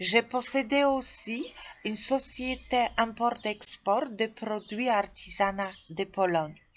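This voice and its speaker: A woman with a Polish accent speaks at a very slow pace in a fairly high pitch with ordinary pitch variation. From Poland. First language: Polish (speaking French). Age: 40s. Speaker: tour guide job seeker. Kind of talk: self-presentation video. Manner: halting, with hesitations.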